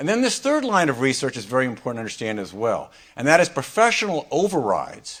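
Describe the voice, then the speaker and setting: A loud man at a very fast pace, medium in pitch with very wide pitch swings. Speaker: law professor panelist. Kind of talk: conference talk. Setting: panel on stage with audience and mic.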